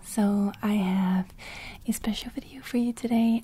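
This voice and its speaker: A woman speaks at a very slow pace. The sound is dry with no echo, with light background noise. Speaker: ASMR artist. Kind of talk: casual talk to camera. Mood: excited, grateful. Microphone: studio mic.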